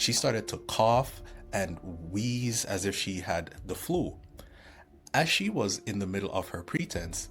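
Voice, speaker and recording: Speech moves at a fairly slow pace with long, frequent pauses. Music plays in the background. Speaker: religious video creator. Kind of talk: scripted narration.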